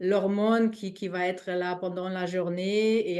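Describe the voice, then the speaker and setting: Speaking very slowly with a non-native accent, a woman keeps a medium pitch and fairly even intonation. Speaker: spiritual healing teacher. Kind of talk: live online talk. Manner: halting.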